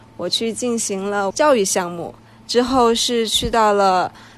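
Speaking very slowly, a woman with a Sichuan accent uses a fairly high pitch. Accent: Sichuan-accented Mandarin. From Sichuan, China. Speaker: podcast co-host. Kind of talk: casual chat.

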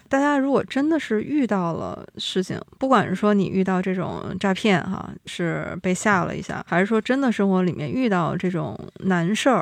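A woman's unremarkable speaking voice, medium in pitch with lively intonation, at a moderate pace with hardly any pauses. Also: quiet background. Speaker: podcast host. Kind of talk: casual chat.

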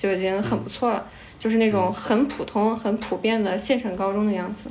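A woman speaks at a very fast pace with a fairly high pitch. Her intonation stays fairly even. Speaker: volunteer teacher. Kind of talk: casual chat.

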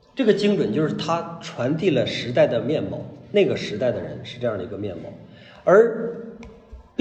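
A high-pitched man with very wide pitch swings, big shifts in loudness and long, frequent pauses, amid noticeable background noise and audible room echo. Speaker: art lecturer. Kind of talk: lecture. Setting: live lecture with audience. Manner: conversational, frequent rhetorical questions.

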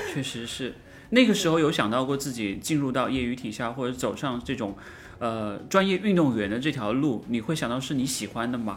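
The speaker talks at a fairly quick pace with ordinary pitch variation. Room echo is audible. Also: man, medium pitch for a man. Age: 40s. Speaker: running podcast co-host. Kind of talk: casual interview chat.

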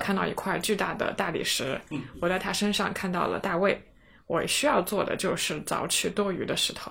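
Speaking with vocal fry, a woman uses a medium pitch and ordinary pitch variation. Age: 30s. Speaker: podcast host. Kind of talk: casual chat.

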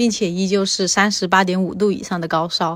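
On a very clean recording with a silent background, a woman speaks at a moderate pace and medium pitch with monotone, flat intonation. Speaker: interviewee sharing infection experience. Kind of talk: personal testimony.

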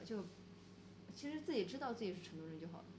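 A very fast pace with a somewhat breathy quality. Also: woman. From Sichuan, Pixian near Chengdu. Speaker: bridge designer and photographer, gallery co-owner. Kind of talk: casual chat. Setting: in the guest's gallery space.

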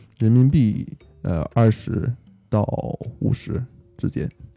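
A dark, mellow tone sits over a quiet background. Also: man. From Beijing. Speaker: returning guest. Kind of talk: casual chat. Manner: hesitant, with fillers.

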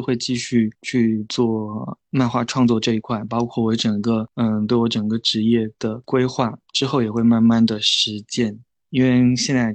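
A man's medium-pitched, monotone, flat delivery at a fairly slow pace. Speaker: independent comic artist. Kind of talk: interview. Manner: gentle, soft; halting.

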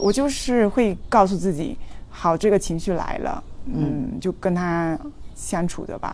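A woman's medium-pitched voice with vocal fry and lively intonation, at a fairly slow pace. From China, Fujian. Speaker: traveller, former tech company employee. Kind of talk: casual interview chat.

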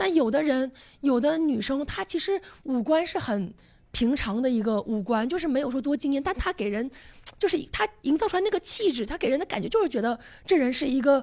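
A woman speaks in a high voice with very wide pitch swings. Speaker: podcast guest. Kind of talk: casual chat.

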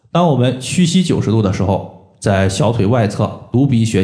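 The voice carries a dark, mellow tone and is somewhat breathy. Audible room echo surrounds it. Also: man. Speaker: podcast host, moxibustion practitioner. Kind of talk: health tutorial. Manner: explanatory, frequent filler particles.

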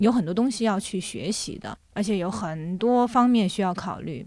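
A woman in a normal speaking voice, medium in pitch, with lively intonation at a moderate pace, on a very clean recording with a silent background. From Jiangsu, China (born in Shanghai). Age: 30s. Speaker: children's book editor and podcast host. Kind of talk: casual interview chat.

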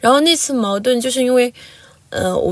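A woman talks with ordinary pitch variation. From Lhasa, Tibet. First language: Tibetan (speaking Chinese). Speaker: university student. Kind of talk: interview.

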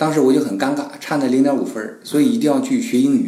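Amid noticeable background noise and audible room echo, a man with a fairly high pitch speaks at a fairly quick pace with lively intonation. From China. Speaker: human resources professional. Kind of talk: casual chat.

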